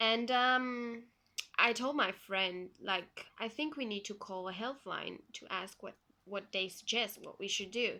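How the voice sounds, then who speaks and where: A woman's fairly high, bright, sharp voice in a Flemish accent, fairly slow, with ordinary pitch variation and big swings in loudness. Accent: Belgian (Flemish) accent in English. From Belgium. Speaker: vlogger sharing personal health story. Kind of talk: personal testimony vlog. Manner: hesitant, many fillers.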